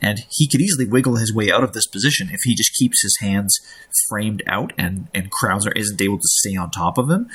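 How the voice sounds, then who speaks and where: Here a man talks at a fairly quick pace with a fairly low pitch. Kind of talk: casual commentary on game footage. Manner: whispered.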